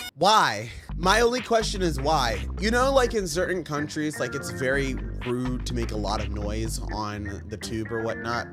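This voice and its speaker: A man at a moderate pace, music playing in the background. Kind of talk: reaction video commentary. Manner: sassy, playful.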